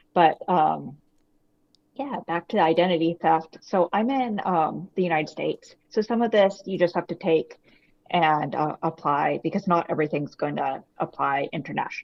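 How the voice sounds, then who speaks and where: A woman with an American accent speaks at a moderate pace, her pitch fairly low with ordinary variation. Vocal fry runs through her voice. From US. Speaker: author, identity theft victim. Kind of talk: interview.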